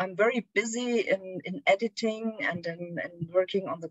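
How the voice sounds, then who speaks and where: A woman's medium-pitched voice moves at a moderate pace, showing ordinary pitch variation. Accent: German. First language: German. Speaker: philosophy scholar. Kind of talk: academic lecture. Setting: video call. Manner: halting.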